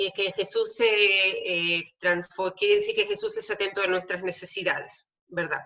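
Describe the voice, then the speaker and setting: A woman with a Hebrew accent speaks at a medium pitch in a bright, sharp tone. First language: Hebrew (speaking Spanish). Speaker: theologian and tour guide. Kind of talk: lecture. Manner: many filler hesitations.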